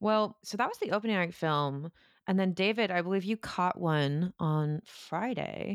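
Using an ordinary speaking voice, a woman talks at a moderate pace in a medium pitch with ordinary pitch variation. The recording is very clean, silent in the background, and dry and close with no echo. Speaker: horror podcast co-host. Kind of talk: casual chat.

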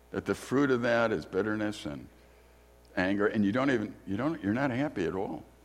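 A man with an American accent, fairly low in pitch and lively in intonation, at a fairly quick pace with audible room echo. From US Midwest, Chicago. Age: 60s. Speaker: guest preacher and theology teacher. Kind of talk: sermon. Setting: church.

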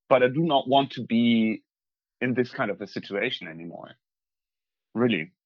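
A man with a German accent at a medium pitch and moderate pace, lively intonation, long, frequent pauses and big swings in loudness. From northwest Germany, East Frisia. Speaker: tour guide. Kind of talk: casual remote interview. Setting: video call from countryside home, poor audio.

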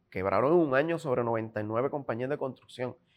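The recording is very clean, and the background is silent. An ordinary speaking voice, with lively intonation, holds a moderate pace. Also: man. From Puerto Rico. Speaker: independent gubernatorial candidate. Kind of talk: political interview.

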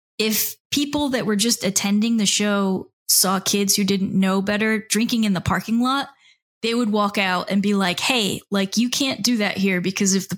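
In a very clean recording with a silent background, a woman with an American accent speaks in an unremarkable speaking voice at a medium pitch, with fairly even intonation. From South Florida, Miami. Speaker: author and record label founder. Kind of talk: casual interview.

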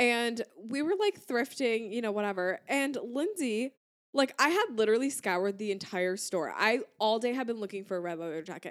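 This woman has a plain, everyday voice, pitched fairly high. She talks at a moderate pace with lively intonation. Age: 20s. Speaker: podcast co-host. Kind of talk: casual chat.

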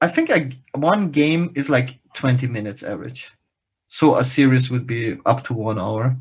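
This man's voice carries a degree of breathiness. He sits at a medium pitch and keeps a moderate tempo. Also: ordinary pitch variation. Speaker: podcast co-host. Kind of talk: casual chat.

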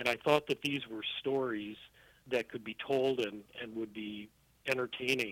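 A man with an American accent, fairly even intonation and a fairly slow pace, in a dry, close sound with no echo. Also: medium pitch for a man. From US Midwest, Milwaukee, Wisconsin. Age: 50s. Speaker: trade magazine columnist. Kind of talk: interview. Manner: halting, frequent fillers.

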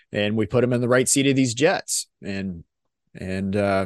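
The sound is dry and close with no echo and a quiet background as a man speaks at a moderate pace with ordinary pitch variation. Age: 40s. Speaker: corporate pilot and podcast co-host. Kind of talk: casual chat. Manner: halting.

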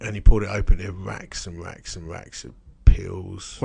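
A man's very deep, low voice at a moderate pace, fairly even in intonation but with big swings in loudness. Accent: British. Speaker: podcast co-host. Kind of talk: casual, chatty.

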